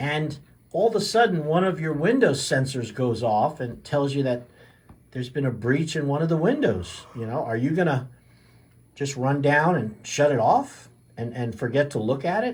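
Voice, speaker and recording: A man with a fairly high pitch speaks at a moderate pace. His voice is somewhat breathy, with lively intonation. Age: 60s. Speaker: chiropractor and radio health show host. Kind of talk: radio health talk. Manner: casual, with many fillers and repetitions.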